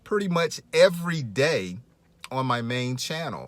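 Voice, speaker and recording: In an unremarkable speaking voice, a man talks at a fairly slow pace with lively intonation. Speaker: English teacher podcaster. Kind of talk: language lesson.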